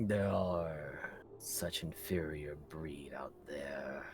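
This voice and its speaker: Growling and hissing in a put-on character voice, a man speaks at a very deep, low pitch and a very slow pace over clear background noise. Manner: haughty, contemptuous.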